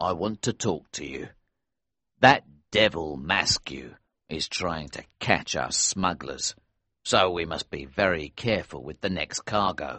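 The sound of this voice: The put-on character voice has a bright, sharp tone, lively intonation and a fairly slow pace. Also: man, extremely low pitch for a man.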